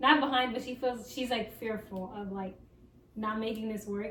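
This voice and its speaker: Amid noticeable background noise and audible room echo, a woman speaks at a moderate pace, her pitch fairly high and her intonation fairly even. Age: 20s. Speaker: podcast host. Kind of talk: casual chat. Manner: casual, filler-heavy.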